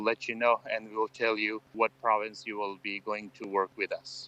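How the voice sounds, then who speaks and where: The speaker has an Afghan accent and a bright, sharp tone. The pace is fairly quick, and the sound is dry and close with no echo. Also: man. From Afghanistan. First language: Farsi. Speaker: former military interpreter. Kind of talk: interview. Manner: hesitant, with frequent fillers.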